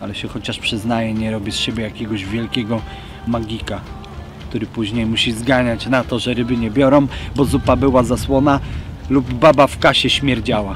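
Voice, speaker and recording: Over clear music in the background, a man speaks at a fairly quick pace. His intonation is fairly even, and the sound is dry with no echo. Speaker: carp angler vlogger. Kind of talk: casual vlog chat. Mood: reflective, a bit bitter. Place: waterside.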